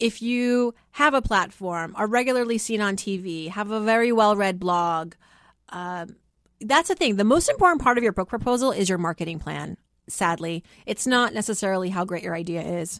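Delivered at a moderate pace with an American accent, the voice has lively intonation against a quiet background. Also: woman, medium pitch for a woman. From Worcester, Massachusetts, US. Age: 30s. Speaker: podcast host and finance author. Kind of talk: interview conversation.

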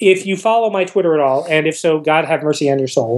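The man's tone is animated. He speaks with lively intonation. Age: 40s. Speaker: novelist. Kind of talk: interview.

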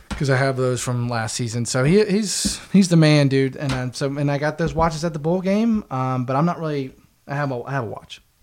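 This man has an ordinary speaking voice with an American accent and fairly high pitch. He talks at a fairly quick pace with ordinary pitch variation. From West Virginia, Charleston. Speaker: sports podcast co-host. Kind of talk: casual chat.

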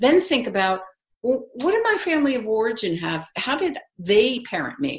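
Somewhat breathy, a woman talks at a moderate pace with very wide pitch swings. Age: 60s. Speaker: parenting expert. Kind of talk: casual chat.

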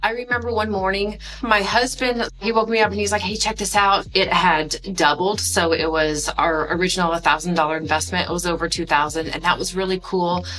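A woman's fairly low-pitched voice at a fairly quick pace with hardly any pauses, ordinary pitch variation and noticeable background noise. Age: 30s. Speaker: business professor, crypto investor. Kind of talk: personal testimony.

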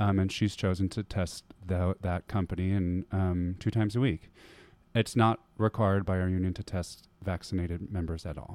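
A man with a very deep, low pitch and an American accent speaks at a moderate pace with fairly even intonation, in a dry, close sound with no echo and a very clean recording with a silent background. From US Midwest, Wisconsin. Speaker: Broadway performer and dancer. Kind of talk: casual interview. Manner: hesitant with frequent fillers.

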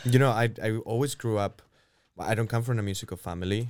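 In a very clean recording with a silent background, a man with a Spanish accent talks at a fairly quick pace with ordinary pitch variation. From Spain. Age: 30s. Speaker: orchestra conductor. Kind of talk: interview.

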